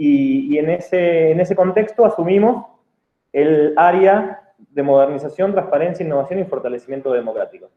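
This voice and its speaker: Pitched high, a man's voice carries lively intonation. He talks at a moderate pace. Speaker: public official. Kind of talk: lecture. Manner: halting, many fillers and repeats.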